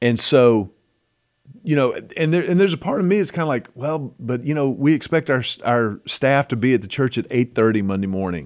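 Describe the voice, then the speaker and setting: Lively intonation fills this man's speech, a plain, everyday voice at medium pitch with an American accent. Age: 50s. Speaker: podcast host. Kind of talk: casual chat.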